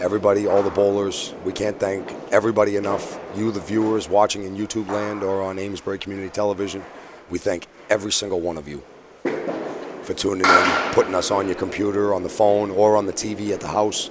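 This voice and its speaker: A man talks at a very fast pace in a strong Boston accent, his pitch fairly low. Noticeable background noise runs under the speech. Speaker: sports commentator. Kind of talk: live commentary. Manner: animated.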